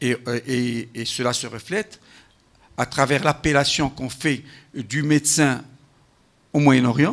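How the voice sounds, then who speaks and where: A man talks at a very slow pace, his medium-pitched voice showing ordinary pitch variation. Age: 60s. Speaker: health professional, panel speaker. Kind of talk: round-table talk. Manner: halting, with repetitions.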